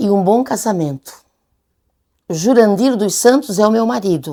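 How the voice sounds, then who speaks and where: Over a silent background in a very clean recording, a woman with a dark, mellow tone speaks at a fairly slow pace, her medium pitch making very wide swings. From Brazil, Içara (Santa Catarina). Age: 70s. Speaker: writer and retired teacher. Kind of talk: documentary interview.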